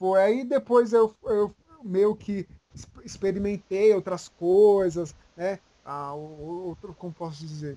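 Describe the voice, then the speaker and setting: Speaking at a very slow pace, a man with a high pitch shows big swings in loudness. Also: ordinary pitch variation. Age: 20s. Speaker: manga content creator. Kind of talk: casual chat.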